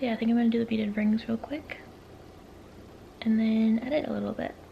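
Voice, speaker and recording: A woman whispering at a very fast pace over noticeable background noise. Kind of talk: casual vlog talk to camera.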